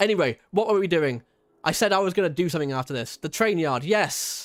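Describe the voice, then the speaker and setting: A man with a high pitch and ordinary pitch variation talks at a fairly quick pace in a very clean recording with a silent background. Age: 20s. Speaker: video game streamer. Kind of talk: casual chat. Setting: livestream.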